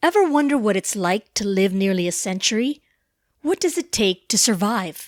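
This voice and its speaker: At a moderate pace, the voice holds a very even loudness while its pitch swings very widely, in a dry, close sound with no echo on a very clean recording with a silent background. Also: woman, medium pitch for a woman. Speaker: journalist. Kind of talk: documentary narration.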